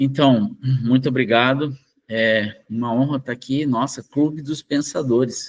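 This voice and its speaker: A very slow delivery with a Brazilian accent and ordinary pitch variation. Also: man. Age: 60s. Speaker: researcher. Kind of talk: interview.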